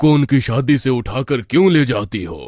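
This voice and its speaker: This is a man doing a raspy, cartoonish character voice. He keeps to a moderate pace. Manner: calls her "senorita".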